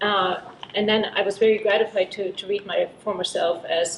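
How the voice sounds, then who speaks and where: A woman speaks with a German accent over noticeable background noise. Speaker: book editor at a university press. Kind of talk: panel talk. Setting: symposium panel with audience.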